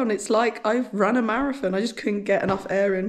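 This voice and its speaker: Against noticeable background noise, a woman talks at a fairly quick pace in a fairly high voice with ordinary pitch variation. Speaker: homesteading vlogger. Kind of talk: casual vlog chat.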